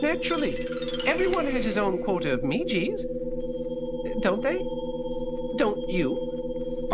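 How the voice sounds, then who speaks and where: Loud background noise competes with a put-on character voice delivered at a fairly slow pace. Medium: audio drama. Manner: effusive, polite.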